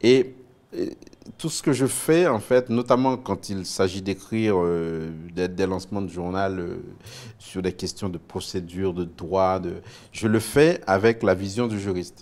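A man's fairly low voice at a fairly slow pace, with ordinary pitch variation. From Haiti, Port-au-Prince; Haiti. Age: 40s. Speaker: TV news anchor and author; TV news anchor. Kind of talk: interview. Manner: hesitant, many fillers and repetitions. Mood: reflective, earnest. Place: studio. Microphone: lapel.

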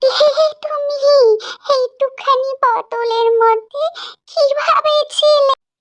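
An extremely high-pitched, cartoonish character voice from a woman, very slow in pace, with a dry, close sound and no echo. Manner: soft, humble, motherly.

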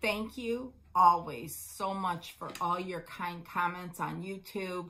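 Speaking at a very slow pace, a woman has a fairly low pitch and a bright, sharp tone. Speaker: crafting vlog co-host. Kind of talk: casual vlog chat. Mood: warm, grateful. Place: home room. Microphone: phone near.

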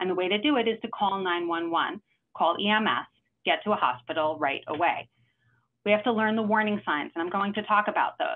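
Lively intonation marks this woman's medium-pitched voice with a New York accent. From New York City. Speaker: cardiologist. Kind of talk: lecture. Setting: video call. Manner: fast talker. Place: home room. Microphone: webcam.

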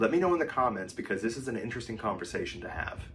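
Over faint background music, a man talks at a very fast pace. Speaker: travel vlogger. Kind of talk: casual vlog commentary. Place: home room.

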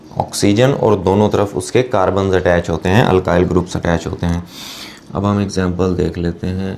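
A man with a very deep, low pitch, fairly even intonation and a fairly slow pace, over light background noise. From Pakistan. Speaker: chemistry teacher. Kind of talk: lecture. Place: classroom. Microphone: lapel.

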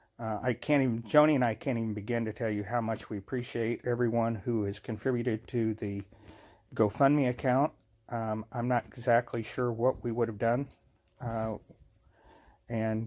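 A man at a moderate pace, monotone and flat in intonation, against a quiet background. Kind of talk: casual vlog chat. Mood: earnest, grateful. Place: home room. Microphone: phone near.

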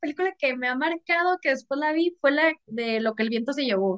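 The background stays quiet. Against it, a woman's pitch swings very widely. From Mexicali, Baja California, northern Mexico; Baja California, Mexico. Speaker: author and content creator; interview guest. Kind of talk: casual chat. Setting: video call. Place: home room. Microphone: video call.

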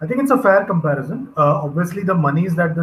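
Light background noise accompanies a man whose voice is somewhat breathy. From India. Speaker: cricket journalist and YouTuber. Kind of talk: panel discussion. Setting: video call. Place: home room. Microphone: video call.

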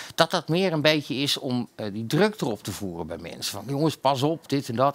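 A man is speaking. His pace is fairly quick. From Netherlands. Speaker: talk show host. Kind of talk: casual chat. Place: studio. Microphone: headset.

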